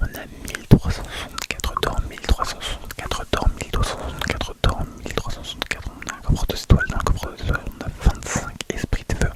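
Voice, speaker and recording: A man whispers at a fairly quick pace. There is noticeable background noise. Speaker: ASMR gaming youtuber. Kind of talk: game commentary voice-over. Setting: recorded on bed with a microphone. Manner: casual, spoken rather than whispered.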